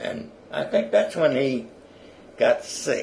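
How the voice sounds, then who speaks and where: A man with an American accent in monotone, flat intonation, over noticeable background noise. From South Philadelphia. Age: 80s+. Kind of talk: oral history interview answer.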